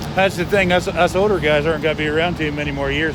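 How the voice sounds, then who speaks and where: Very fast speech comes through noticeable background noise and audible room echo. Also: man. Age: 60s. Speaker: walking-tour vlogger. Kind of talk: casual street conversation. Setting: outdoors on a city street.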